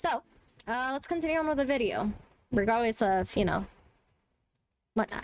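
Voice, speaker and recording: A woman's fairly high, animated voice with a slight Spanish accent, fairly quick delivery, lively intonation and long, frequent pauses. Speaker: streamer. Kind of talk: casual commentary on a video. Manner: animated, with many fillers.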